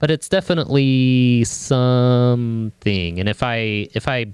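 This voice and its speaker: A man with a medium-pitched voice and ordinary pitch variation, recorded with a dry, close sound and no echo over a quiet background. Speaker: musician and streamer. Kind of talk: tutorial. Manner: varies between quiet and loud; halting.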